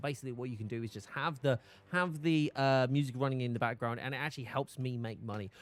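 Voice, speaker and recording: Someone talks at a very fast pace with a British accent. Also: man. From Britain. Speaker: gaming streamer. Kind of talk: live game stream chat. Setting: live stream while gaming. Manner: casual, chatty.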